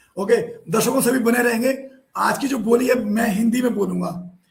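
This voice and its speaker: Heard with audible room echo, a man talks at a moderate pace in a high pitch with ordinary pitch variation. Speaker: online show host. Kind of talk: live show hosting. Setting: live video call.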